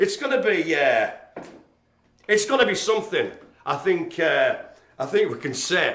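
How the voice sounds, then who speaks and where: A man speaks in a raised, projected voice at a moderate pace. His tone is animated, and there is audible room echo. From northern England, Carlisle. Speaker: live stream host for a community project. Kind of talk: mock-dramatic performance; casual live broadcast chat. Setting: live streamed video from the centre. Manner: ad-libbing.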